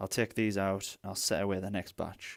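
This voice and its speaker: A man with a British accent speaks at a moderate pace with very deep, low pitch. His intonation is monotone and flat, in a very clean recording with a silent background. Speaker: retro console restorer. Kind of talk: tutorial talk to camera. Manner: casual, chatty.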